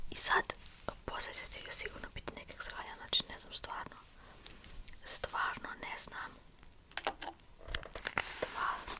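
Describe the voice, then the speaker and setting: A woman whispers with big swings in loudness over noticeable background noise. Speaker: ASMR creator. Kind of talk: ASMR whispered hair play. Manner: whispered, soft-spoken.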